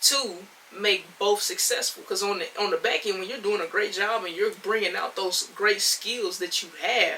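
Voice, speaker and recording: A woman speaks in an excited tone over noticeable background noise. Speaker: podcast host. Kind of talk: solo podcast monologue. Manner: loud, excited.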